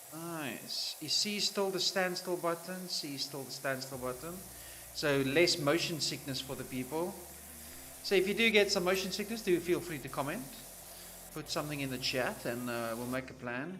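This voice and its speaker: Noticeable background noise under a man's fairly high, relaxed voice with a South African accent, lively intonation and a moderate pace. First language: Afrikaans. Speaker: gaming streamer. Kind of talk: live gameplay commentary. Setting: livestream. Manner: casual, relaxed.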